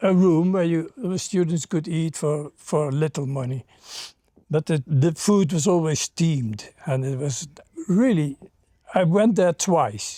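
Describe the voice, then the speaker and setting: A man with a Dutch accent has a dark, mellow tone and a fairly high pitch, with ordinary pitch variation at a fairly slow pace. The sound is dry and close, with no echo. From Netherlands. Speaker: former hippie. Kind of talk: interview. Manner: halting.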